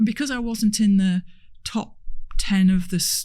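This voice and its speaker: With a Hull accent, a woman speaks at a moderate pace in a dark, mellow, somewhat breathy voice. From northern England, Hull. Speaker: transport industry executive. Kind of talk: podcast interview.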